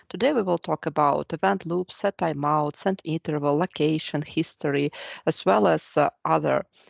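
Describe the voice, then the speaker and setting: A woman's very deep, low voice with vocal fry and ordinary pitch variation, at a moderate pace, dry and close with no echo, over a quiet background. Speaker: programming instructor. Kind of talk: lecture.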